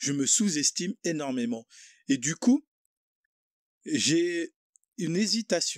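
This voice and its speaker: Very slow and full of long, frequent pauses, a man speaks at a high pitch with very wide pitch swings in a dry, close sound with no echo on a very clean recording with a silent background. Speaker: podcast host. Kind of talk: casual chat. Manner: hesitant.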